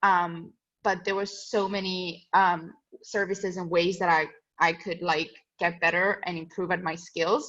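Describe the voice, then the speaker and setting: Over a quiet background, a woman speaks in a medium pitch with monotone, flat intonation. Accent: non-native. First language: not English. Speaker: student ambassador. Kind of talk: casual talk to prospective students. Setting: webinar video call.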